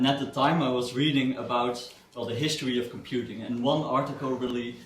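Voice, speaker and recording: Over noticeable background noise and audible room echo, a man with a Dutch accent and a medium pitch speaks at a fairly quick pace with monotone, flat intonation. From Netherlands. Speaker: software developer and guest speaker. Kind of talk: seminar talk. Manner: halting, many fillers and repetitions.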